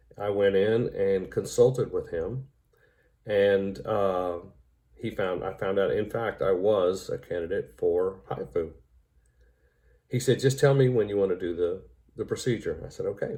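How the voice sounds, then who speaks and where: A man at a fairly slow pace, with long, frequent pauses. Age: 60s. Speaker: patient. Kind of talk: testimony. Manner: frequent hesitations (uh, um).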